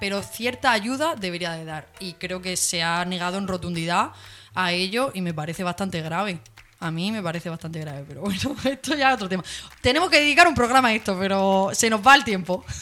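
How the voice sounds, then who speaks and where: A woman with an ordinary speaking voice at a medium pitch talks fairly quickly, with lively intonation and big swings in loudness. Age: 20s. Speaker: radio co-host. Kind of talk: casual chat.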